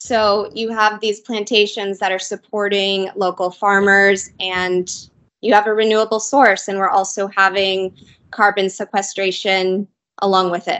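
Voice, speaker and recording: A woman speaks at a medium pitch in a monotone, flat intonation. The background is quiet. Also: fairly slow pace. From US, Southern California. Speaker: sustainable materials company representative. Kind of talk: interview. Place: office. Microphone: video call.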